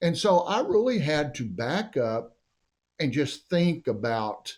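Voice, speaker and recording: With an American accent, a man speaks at a very slow pace. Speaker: mayor. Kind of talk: interview. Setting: podcast studio. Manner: loud.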